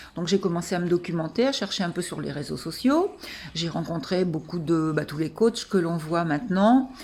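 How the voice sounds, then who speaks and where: A woman speaks with a dark, mellow tone. Her pitch sits fairly low. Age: 60s. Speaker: coaching client. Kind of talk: testimony. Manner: halting.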